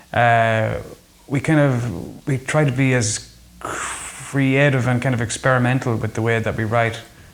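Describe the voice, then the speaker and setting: A man with an Irish accent speaks at a medium pitch. His pace is fairly slow and his intonation fairly even. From Ireland. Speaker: folk musician. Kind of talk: interview.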